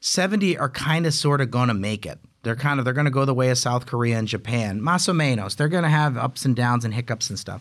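With an American accent, a man talks at a very fast pace with hardly any pauses, at a medium pitch and with ordinary pitch variation. The recording is very clean, with a silent background. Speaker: podcast host, think tank executive. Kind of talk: interview.

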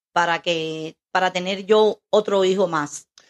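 Her intonation is fairly even at a medium pitch for a woman. The sound is dry and close, with no echo. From Cuba, Camagüey. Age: 60s. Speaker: host's mother. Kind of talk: interview. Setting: home studio.

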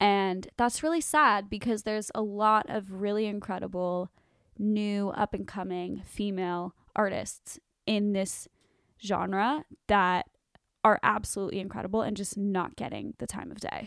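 A woman speaks at a fairly slow pace in a normal speaking voice, her pitch medium with ordinary variation. Her loudness swings widely. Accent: General American. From Arizona, Cave Creek. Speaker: singer-songwriter. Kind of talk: interview.

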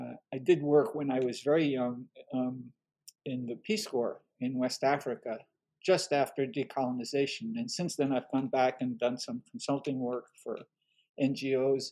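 At a moderate pace, a man with a medium pitch and a dark, mellow tone speaks with ordinary pitch variation. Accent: French. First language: French. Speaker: history professor and author. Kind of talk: interview.

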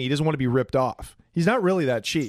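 A man's fairly high, animated voice at a fairly quick pace, with lively intonation. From Portland, US Pacific Northwest. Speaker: comedian. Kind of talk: casual comedic banter, crude humor. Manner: animated, irreverent.

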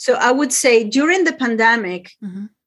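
This woman has a high-pitched voice and an Italian accent. She speaks at a moderate pace with lively intonation. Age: 60s. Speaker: business and lifestyle consultant. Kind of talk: interview.

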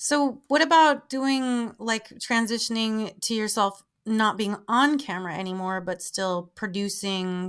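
Over a very clean recording with a silent background, a woman with a plain, everyday voice speaks at medium pitch and a fairly slow pace, with lively intonation and hardly any pauses. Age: 30s. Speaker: podcast host and adult performer. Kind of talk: casual interview chat.

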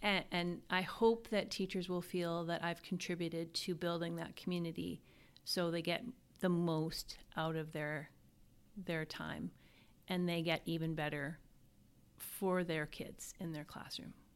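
With a western Canadian accent, a woman speaks fairly low in pitch at a fairly slow pace. Her intonation stays fairly even on a very clean recording with a silent background. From Canada, Alberta. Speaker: school division superintendent. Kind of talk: interview.

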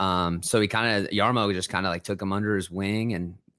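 A man with an American accent speaks at a moderate pace in a fairly low voice, his tone bright and sharp, on a very clean recording with a silent background. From Ohio. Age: 20s. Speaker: musician. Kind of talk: casual chat.

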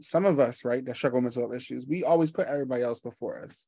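This man's pitch shifts in an ordinary way. He speaks at a very fast pace. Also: quiet background. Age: 30s. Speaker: podcast host. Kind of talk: casual interview. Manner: animated.

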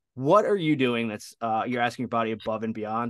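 Against a quiet background, a man at a medium pitch talks at a very fast pace. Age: 40s. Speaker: sports dietitian. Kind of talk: casual chat.

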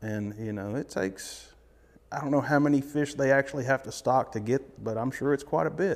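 A man with a Tennessee accent talks at a moderate pace. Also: medium pitch for a man, ordinary pitch variation. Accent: Southern US (Tennessee). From eastern Tennessee. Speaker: fishing guide. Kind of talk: interview.

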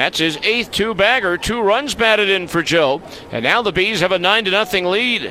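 Speaking at a moderate pace, a man uses a raised, projected voice that sits high in pitch, with ordinary pitch variation and very even loudness. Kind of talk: sports commentary, play-by-play highlight recap.

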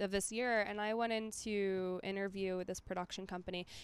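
A woman's ordinary speaking voice, medium in pitch, with an American accent at a moderate pace. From Minnesota. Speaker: stand-up comedian. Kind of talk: casual chat. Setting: outdoors in a yard.

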